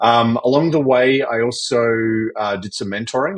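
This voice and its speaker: A man's medium-pitched voice in an Australian accent, with ordinary pitch variation and a moderate pace. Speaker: fractional CFO and entrepreneur. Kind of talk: podcast interview.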